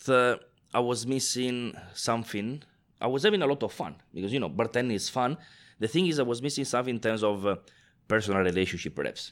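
A man with an Italian accent, medium in pitch, with lively intonation. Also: very clean recording, silent background. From northeast Italy. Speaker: bartender and global brand ambassador. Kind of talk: casual interview chat.

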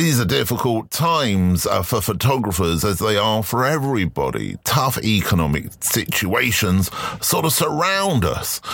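Fairly low male voice with a fairly bright tone, vocal fry, big pitch swings, a fairly slow pace and few pauses.

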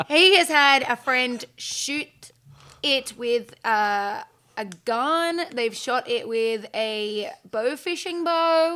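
A woman with an Australian accent projects her voice at a high pitch in a bright, sharp tone, very slowly and with lively intonation. The recording is very clean, with a silent background. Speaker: outdoor podcast host and TV presenter. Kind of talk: casual interview chat.

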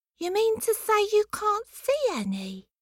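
A woman puts on a squeaky character voice at an extremely high pitch, going at a fairly slow pace. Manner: mock innocent.

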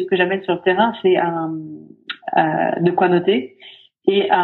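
A woman talks in a flat, monotone way at a medium pitch. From Sweden, raised in France from age 9. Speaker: business ethnologist, sociologist. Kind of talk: interview. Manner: hesitant, many fillers.

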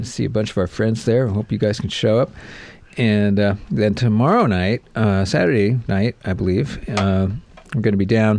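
This is an unremarkable speaking voice, with ordinary pitch variation at a moderate pace. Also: man, fairly low pitch for a man. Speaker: bandleader and musician. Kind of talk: casual radio interview chat. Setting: radio studio.

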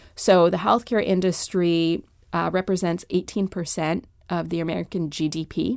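A woman with a normal speaking voice, a fairly low pitch, fairly even intonation and a moderate pace, on a very clean recording with a silent background. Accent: Canadian. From Canada. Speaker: healthcare sustainability executive. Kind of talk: radio interview.

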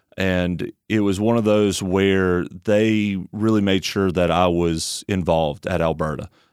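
In an Alabama accent, a man talks with a very deep, low pitch. The recording is very clean, with a silent background. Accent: Southern US (Alabama). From US South, Tuscaloosa, Alabama. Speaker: church member. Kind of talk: casual interview.

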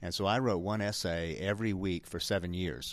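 Very deep, low male voice with vocal fry, captured in a very clean recording with a silent background. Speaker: author and spiritual teacher. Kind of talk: casual interview. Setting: live convention interview. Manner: warm, upbeat, laughs often.

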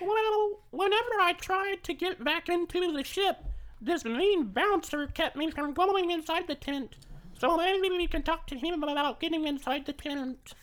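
A put-on character voice at an extremely high pitch, moderate in pace, with light background noise. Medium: actual play. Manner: polite, timid.

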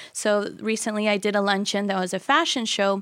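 In a very clean recording with a silent background, a woman uses an ordinary speaking voice at medium pitch, moving at a moderate pace with fairly even intonation. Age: 20s. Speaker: fashion business owner. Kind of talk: casual interview. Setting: studio.

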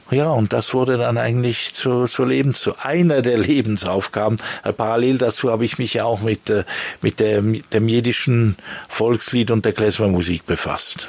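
A man's medium-pitched voice at a moderate pace, with very even loudness, ordinary pitch variation and noticeable background noise. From Switzerland, Bern. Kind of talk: interview. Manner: halting, with many fillers and repetitions.

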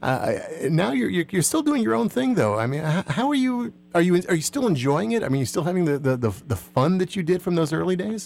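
Against noticeable background noise, a man with an American accent talks at a fairly quick pace and a high pitch, his loudness very even while his pitch swings very widely. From New Jersey. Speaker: radio host. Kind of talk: radio interview. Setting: studio.

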